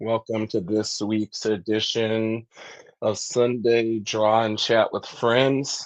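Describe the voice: Slowly and with little pitch movement, a man speaks in a nasal voice of fairly low pitch.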